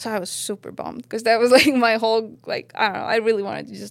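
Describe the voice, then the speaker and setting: A woman speaks with an Estonian accent. Her pace is very fast. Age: 30s. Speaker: professional snowboarder. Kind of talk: casual interview. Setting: studio with live audience.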